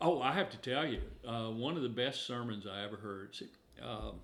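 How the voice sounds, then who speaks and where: A man's medium-pitched voice with vocal fry, ordinary pitch variation and a moderate pace, in audible room echo. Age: 70s. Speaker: minister. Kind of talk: casual chat.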